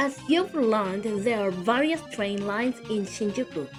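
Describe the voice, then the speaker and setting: A woman's fairly high-pitched voice with lively intonation, with music in the background. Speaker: travel guide. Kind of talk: travel guide narration. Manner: calm.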